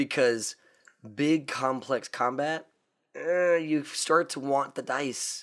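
The delivery is very slow, with fairly even intonation. The recording is very clean, with a silent background. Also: man, fairly high pitch for a man. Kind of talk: casual chat about gaming.

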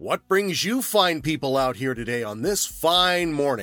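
Using a put-on character voice, a man speaks loudly at a moderate pace in a cheerful tone with a fairly high pitch, while faint music plays in the background. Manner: overly cheerful and salesy.

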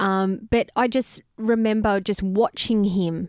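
With an Australian accent, a woman speaks at a fairly high pitch with ordinary pitch variation, in a dry, close sound with no echo on a very clean recording with a silent background. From Melbourne, Australia. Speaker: singer-songwriter, host's wife. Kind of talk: casual chat. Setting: at home.

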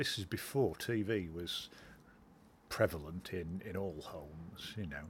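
A somewhat breathy voice at a fairly slow pace. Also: man, very deep, low pitch for a man, ordinary pitch variation. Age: 50s. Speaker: interviewee, hospital patient. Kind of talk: recorded interview, reminiscence.

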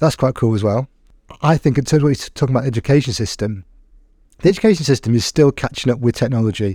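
Recorded very cleanly against a silent background, a man's dark, mellow voice comes across dry and close with no echo. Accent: English. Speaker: podcast host and teacher. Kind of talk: casual interview chat.

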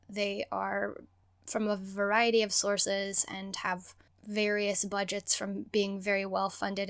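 Over a silent background in a very clean recording, a woman with a plain, everyday voice speaks fairly slowly at a medium pitch. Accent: American. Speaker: podcast co-host, PhD student. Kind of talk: casual chat, podcast discussion.

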